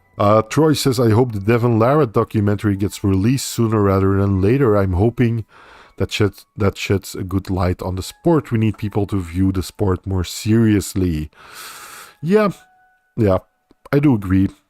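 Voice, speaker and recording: In a very clean recording with a silent background, a man talks at a moderate pace in a Dutch accent. His fairly low voice has ordinary pitch variation and a dry, close sound with no echo. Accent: Dutch-speaking accent, noticeable. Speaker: livestream host. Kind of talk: live stream chat, reading viewer comments.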